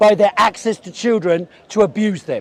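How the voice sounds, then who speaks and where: A man with a London accent and a high-pitched voice. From South London, England. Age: 60s. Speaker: communist debater. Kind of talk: heated debate.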